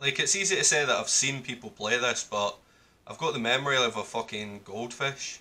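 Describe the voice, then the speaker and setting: A man's medium-pitched voice with a bright, sharp tone and a Scottish accent, at a moderate pace with ordinary pitch variation. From Scotland. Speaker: gamer. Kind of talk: casual gaming commentary. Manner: frustrated, swearing. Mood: frustrated, swearing. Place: home room.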